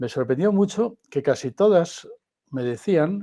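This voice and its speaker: A man's dark, mellow voice with lively intonation at a fairly slow pace, on a very clean recording with a silent background. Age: 60s. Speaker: philosopher and podcast host. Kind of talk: conversational interview. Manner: halting.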